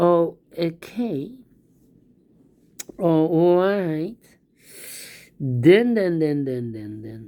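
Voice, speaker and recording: A woman's fairly low, dark, mellow voice with a non-native accent, lively intonation and a very slow pace. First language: not English. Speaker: sudoku instructor. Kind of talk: puzzle solving tutorial.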